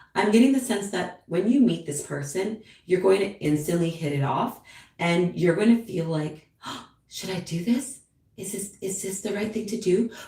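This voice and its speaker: A woman with an ordinary speaking voice talks at medium pitch, with ordinary pitch variation and big swings in loudness. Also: moderate pace. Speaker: tarot reader. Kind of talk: live stream tarot reading. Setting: live stream at home with cat. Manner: casual, chatty.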